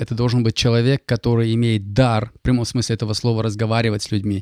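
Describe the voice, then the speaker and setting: With a dark, mellow tone at medium pitch, a man talks at a fairly quick pace in a monotone, flat way, the sound dry and close with no echo. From Kazakhstan (Kaskelen, near Almaty). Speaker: financial consultant and mortgage broker. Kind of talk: interview. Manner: halting.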